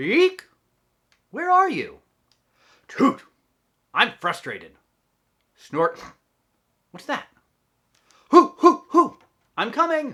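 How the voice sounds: A man's put-on character voice at an extremely high pitch, bright and sharp with a slightly husky edge, very slow with long, frequent pauses and very wide pitch swings.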